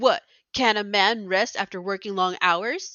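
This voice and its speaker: A gruff, put-on character voice, female-sounding and medium in pitch, at a moderate pace. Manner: macho, gruff.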